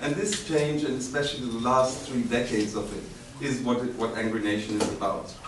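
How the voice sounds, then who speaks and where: Medium-pitched male speech at a fairly quick pace, ordinary pitch variation, with audible room echo and noticeable background noise. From Turkey. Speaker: author and academic. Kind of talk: book presentation talk. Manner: hesitant with fillers.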